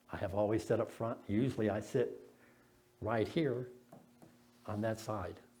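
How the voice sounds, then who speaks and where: A man's fairly low, dark, mellow voice with vocal fry, at a moderate pace with fairly even intonation, long, frequent pauses and audible room echo. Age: 70s. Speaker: lay preacher. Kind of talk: sermon. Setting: church.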